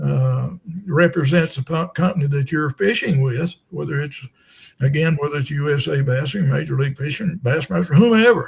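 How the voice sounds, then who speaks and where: A man talks at a moderate pace in a fairly high pitch. His voice is somewhat breathy. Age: 70s. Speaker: retired tournament director and angler. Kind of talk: podcast interview.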